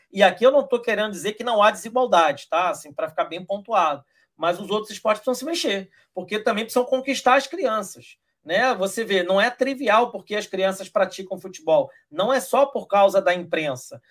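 A man's high-pitched voice, lively intonation, fairly quick pace. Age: 40s. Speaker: rugby community member, sports commentator. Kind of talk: casual chat.

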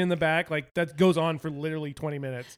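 Speaking at a fairly quick pace, a man sounds animated. His pitch varies in an ordinary way. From England. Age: 30s. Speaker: podcast host. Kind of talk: casual chat.

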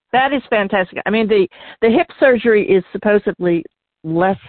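Her voice is an unremarkable speaking voice, and the woman speaks at a moderate pace with lively intonation. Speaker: radio host. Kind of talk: radio interview.

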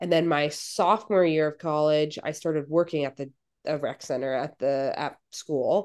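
A woman talks at a moderate pace in a very deep, low pitch. Her intonation stays fairly even over a quiet background. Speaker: fitness coach and podcast co-host. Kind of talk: casual chat. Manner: casual, filler-heavy.

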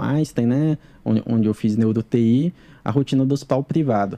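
A man's dark, mellow tone at a fairly quick pace. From Ceará, Brazil (Crato, sertão). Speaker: neurologist. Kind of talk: casual interview chat.

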